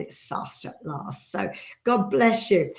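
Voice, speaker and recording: Somewhat breathy, a woman's voice comes through on a very clean recording with a silent background. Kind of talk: casual chat. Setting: studio. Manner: halting, many fillers.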